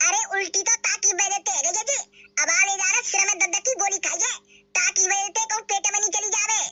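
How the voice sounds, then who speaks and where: Using a cartoonish character voice at an extremely high pitch, a woman talks at a fairly quick pace with fairly even intonation. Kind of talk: cartoon comedy voice. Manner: rough, scolding.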